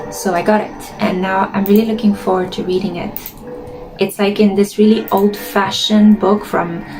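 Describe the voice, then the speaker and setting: Music plays behind a woman who speaks in a Romanian accent at a medium pitch. Her pace is moderate and her intonation is monotone and flat. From Romania, Bucharest. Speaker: gaming streamer. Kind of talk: casual gameplay commentary. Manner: slightly slurred.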